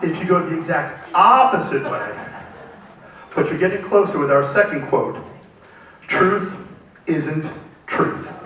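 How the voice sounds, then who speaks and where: Against noticeable background noise and audible room echo, a man speaks at a high pitch with ordinary pitch variation. He talks at a fairly slow pace with long, frequent pauses. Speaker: panel moderator. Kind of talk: moderated panel discussion.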